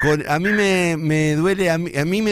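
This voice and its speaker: A man talks with a Santa Fe accent. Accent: Argentine Spanish (rioplatense, Santa Fe). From Argentina, Santa Fe. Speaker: radio host. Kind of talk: casual interview.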